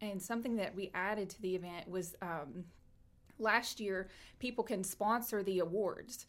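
A woman's medium-pitched voice in a Tennessee accent, with ordinary pitch variation and a moderate pace, in a very clean recording with a silent background. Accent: Southern US (Tennessee). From East Tennessee (Knoxville). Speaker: chamber of commerce director. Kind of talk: casual interview chat. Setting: live video stream.

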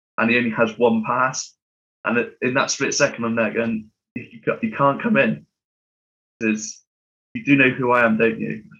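Here a man speaks with a British accent at a medium pitch. His intonation stays fairly even. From UK. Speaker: podcast co-host, aviation enthusiast. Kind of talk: casual chat.

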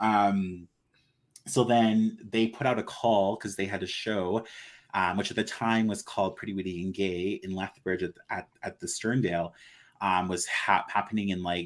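A normal speaking voice from a man, fairly low in pitch, with fairly even intonation and a moderate pace. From Blood Reserve, Kainai Nation, southern Alberta, Canada. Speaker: actor and drag performer. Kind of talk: casual interview.

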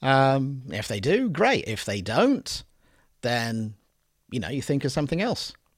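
Speaking at a fairly slow pace, a man uses lively intonation. His pitch sits in the medium range. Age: 50s. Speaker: adult film performer and producer. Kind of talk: casual interview. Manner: hesitant, many fillers.

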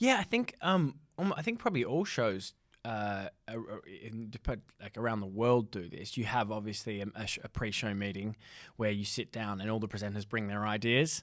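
A man with an Australian accent, fairly low in pitch, with ordinary pitch variation at a moderate pace, on a very clean recording with a silent background. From Australia (Perth). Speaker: radio producer. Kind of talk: interview. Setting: studio.

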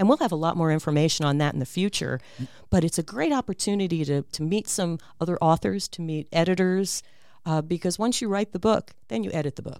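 A woman at a fairly low pitch, a plain, everyday voice, fairly quick pace and lively intonation, on a very clean recording with a silent background. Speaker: author. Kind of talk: casual interview. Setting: studio.

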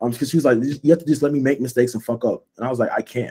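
Very fast speech from a man with a dark, mellow tone. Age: 20s. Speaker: podcast host. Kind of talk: casual chat.

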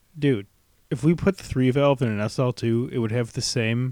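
An ordinary speaking voice from a man with an American accent, ordinary pitch variation and a moderate pace, in a dry, close sound with no echo. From US Midwest. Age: 20s. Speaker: podcast host. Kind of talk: casual chat.

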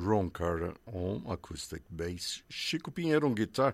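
On a very clean recording with a silent background, a man with a Portuguese accent speaks at a moderate pace with very wide pitch swings. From Brazil. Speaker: radio host. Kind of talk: radio interview.

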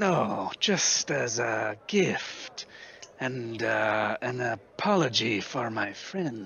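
A man uses a put-on character voice at medium pitch. He speaks at a very slow pace. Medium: actual play. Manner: formal, calm.

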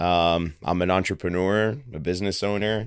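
Recorded very cleanly against a silent background, a man speaks with a very deep, low pitch and fairly even intonation. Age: 30s. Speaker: entrepreneur and martial arts studio owner. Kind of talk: casual interview.

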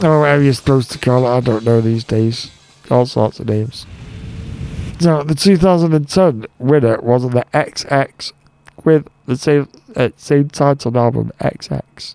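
A man speaks at a fairly slow pace and medium pitch with ordinary pitch variation, in an ordinary speaking voice. The sound is dry and close, with no echo. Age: 30s. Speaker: radio DJ. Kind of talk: radio show presenting.

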